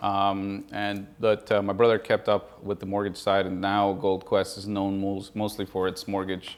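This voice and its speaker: Fairly low in pitch, a man with an American accent uses a normal speaking voice and fairly even intonation. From Colombia, raised from about eleven in Houston, Texas. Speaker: real estate investor. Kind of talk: interview podcast. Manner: relaxed, many fillers (uh, um).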